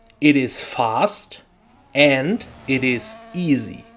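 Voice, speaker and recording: A man's voice against noticeable background noise. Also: long, frequent pauses. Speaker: sim racing video creator. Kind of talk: tutorial.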